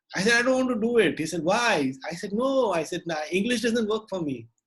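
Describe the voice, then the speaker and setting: A man with a Marathi accent at a very fast pace, his pitch swinging very widely. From India, Maharashtra. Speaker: puppeteer and storyteller. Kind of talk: casual interview.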